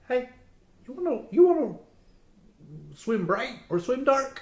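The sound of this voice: A put-on character voice comes across as robotic and fairly high in pitch. It moves at a fairly slow pace.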